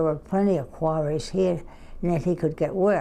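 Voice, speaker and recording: A woman's fairly low, dark and mellow voice with fairly even intonation. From New England. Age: 90s. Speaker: interviewee. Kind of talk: interview. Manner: halting.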